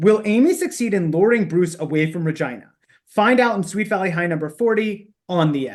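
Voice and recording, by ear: The background is silent apart from the voice. Someone reads aloud in a natural voice.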